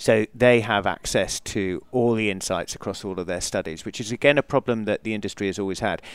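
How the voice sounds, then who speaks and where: A man with an English accent talks at a fairly low pitch and fairly quick pace, with fairly even intonation and hardly any pauses. The sound is dry and close with no echo, on a very clean recording with a silent background. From England. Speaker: company founder and CEO. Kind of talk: casual interview. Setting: conference interview, live broadcast.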